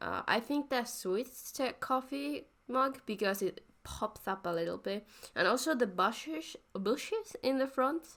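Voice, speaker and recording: A woman speaks at a fairly slow pace with a non-native accent and lively intonation. The recording is very clean, with a silent background. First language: not English. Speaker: art YouTuber. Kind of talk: voice-over commentary on drawing process. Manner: halting, self-correcting.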